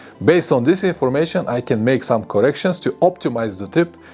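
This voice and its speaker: With music in the background, a man speaks at a fairly quick pace in a medium pitch, his pitch swinging very widely. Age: 50s. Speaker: motorcycle traveler. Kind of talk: casual talk to camera.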